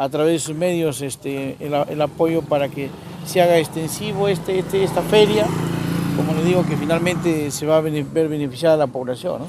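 The man's voice sounds dry with no echo, with noticeable background noise behind it. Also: moderate pace. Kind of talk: interview answer. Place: street. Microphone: handheld.

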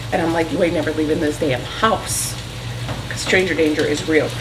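A woman speaks with a fairly low pitch. There is noticeable background noise behind her. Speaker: home vlogger. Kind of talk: casual vlog chat. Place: kitchen. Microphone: camera far.

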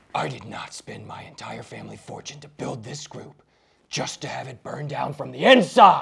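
A man speaks at a medium pitch. His raspy voice keeps a moderate pace. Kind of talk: comedy sketch acting. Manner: pompous, melodramatic.

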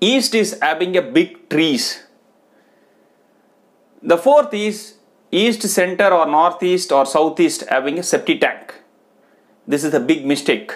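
Against a quiet background, a man speaks at a fairly slow pace with long, frequent pauses. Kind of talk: advice talk to camera. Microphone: lapel.

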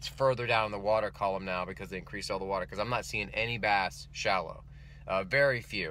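A man with a fairly low voice talks at a fairly quick pace, recorded dry with no echo over light background noise. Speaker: fishing vlogger. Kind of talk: casual vlog chat. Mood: relaxed, reflective wrap-up. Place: car. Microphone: phone near.

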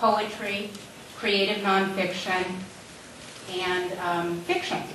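A woman speaks fairly slowly in a flat monotone, with audible room echo and noticeable background noise. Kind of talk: event welcome speech. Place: hall.

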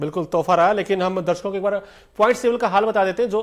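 A man speaks with a high pitch. The background is quiet. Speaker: sports analyst. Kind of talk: sports commentary. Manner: animated; excitable, fast. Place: studio. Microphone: lapel.

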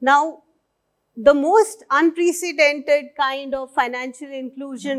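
The background is quiet. A woman with a high pitch speaks at a fairly slow pace. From India. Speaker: senior civil servant. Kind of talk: conference keynote speech. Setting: stage with audience. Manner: formal. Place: stage.

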